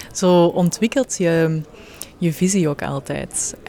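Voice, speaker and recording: A woman with a fairly low pitch is heard in a dry, close recording with no echo and noticeable background noise. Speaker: podcast host. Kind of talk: interview. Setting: hotel interior.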